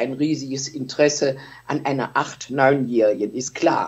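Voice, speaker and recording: Fairly slow pace from a woman speaking. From Germany, Solingen; Germany. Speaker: eyewitness; witness. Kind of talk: interview testimony. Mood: warm, reminiscing. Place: home room. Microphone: phone near.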